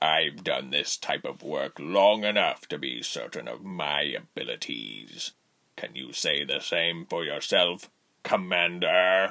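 Using a put-on character voice, a man talks at a fairly slow pace in a very deep, low pitch. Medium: audio drama. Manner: icy, commanding.

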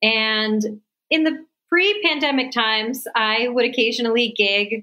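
A woman's lively intonation at a fairly slow pace. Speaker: music therapist and singer-songwriter. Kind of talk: interview. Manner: animated.

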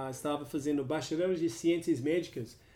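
A man's fairly high-pitched voice, dark and mellow in tone, with ordinary pitch variation. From Australia. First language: English (speaking Portuguese). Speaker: chiropractor, health coach. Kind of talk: interview. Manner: halting, non-native Portuguese.

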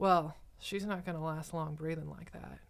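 The speaker uses a normal speaking voice with ordinary pitch variation at a fairly quick pace. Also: woman. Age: 30s. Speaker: nurse educator and podcast host. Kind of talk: casual chat.

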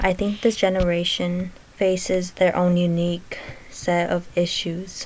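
A woman's medium-pitched voice at a fairly slow pace, monotone and flat in intonation, with noticeable background noise. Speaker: student presenter. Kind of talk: reading aloud.

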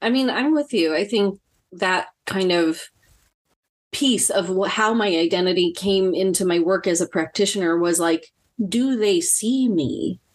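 In an ordinary speaking voice, a woman talks fairly slowly at a medium pitch with ordinary pitch variation, against a quiet background. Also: very even loudness. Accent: American. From Filipino American, USA. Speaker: clinical social worker. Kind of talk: casual chat. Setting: video call.

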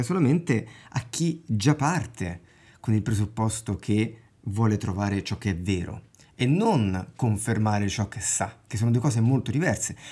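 Somewhat breathy, with a dark, mellow tone, the voice moves at a moderate pace with lively intonation. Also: man. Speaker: podcast host. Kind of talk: casual chat. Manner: pauses with filler sound when thinking.

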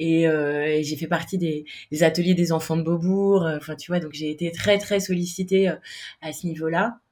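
Her voice sits at a fairly low pitch for a woman, moving at a fairly slow pace with monotone, flat intonation. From Paris, France. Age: 30s. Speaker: freelance web designer and startup founder. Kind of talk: interview.

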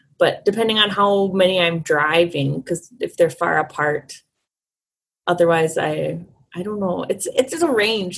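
Somewhat breathy and with an American accent, a woman speaks at a fairly slow pace with lively intonation. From St. Paul, Minnesota. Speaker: roller derby skater and census worker. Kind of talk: casual interview.

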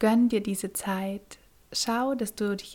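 A woman speaks at a fairly slow pace, somewhat breathy, with fairly even intonation. Her tone is dark, mellow, gentle and soothing. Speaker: podcast host and meditation guide. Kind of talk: guided meditation. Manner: slow, soothing, calm; gentle, with long pauses.

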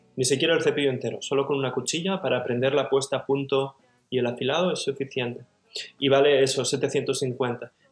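Music plays behind a man speaking. His pitch is fairly high and his intonation fairly even. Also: fairly quick pace. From Barcelona, Catalonia, Spain. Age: 30s. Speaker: cabinetmaker and woodworking teacher. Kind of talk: casual interview conversation.

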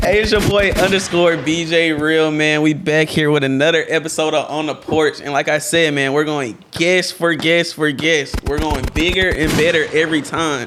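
A man at a moderate pace with hardly any pauses, his pitch fairly high, over noticeable background noise. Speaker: podcast host. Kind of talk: casual chat. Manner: energetic.

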